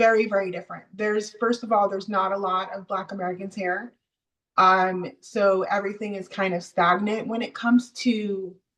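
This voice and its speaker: A woman has an unremarkable speaking voice. She talks at a moderate pace. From US South (Miami and Georgia), born in Jamaica. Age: 40s. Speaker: interview guest. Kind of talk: casual interview.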